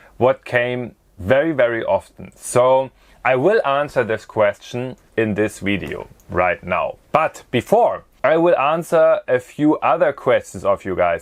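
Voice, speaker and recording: A man speaking fairly slowly with a German accent, the sound dry and close with no echo. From Germany. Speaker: kitesurfer and video creator. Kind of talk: Q&A monologue to camera. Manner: casual.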